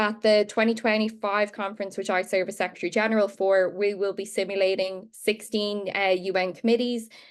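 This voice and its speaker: In an Irish accent, a woman with a medium pitch talks at a fairly quick pace in a monotone, flat way. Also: hardly any pauses. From Ireland. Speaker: barrister and youth advocate. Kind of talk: panel discussion.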